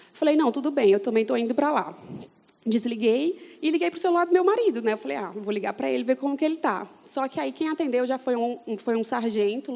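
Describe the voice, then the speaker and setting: A woman with a Fortaleza accent speaks at a high pitch. Her pace is fairly quick and her intonation lively. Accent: Northeastern Brazilian (Fortaleza). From Brazil, Fortaleza (Northeast). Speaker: church member giving testimony. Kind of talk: testimony. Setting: church event with audience.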